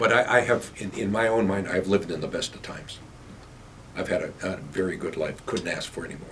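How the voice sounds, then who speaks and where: A man speaks at a fairly quick pace and fairly low pitch, with ordinary pitch variation and big swings in loudness. Noticeable background noise sits behind him. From Pennsylvania. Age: 70s. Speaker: mayor. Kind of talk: casual interview.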